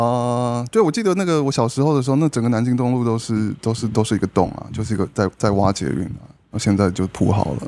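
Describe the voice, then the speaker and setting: Very fast and lively in intonation, a man talks at medium pitch with a dark, mellow tone. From grew up abroad (Brunei and elsewhere), born in Taiwan. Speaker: podcast guest. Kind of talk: casual chat. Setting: at a dinner table, eating while recording.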